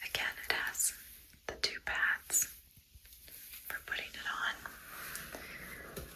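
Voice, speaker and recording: A woman's very slow whispering, full of long, frequent pauses, over noticeable background noise. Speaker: ASMR creator and cancer survivor. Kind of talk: ASMR wig fitting, soft personal talk to camera. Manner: soft-spoken, gentle, calm.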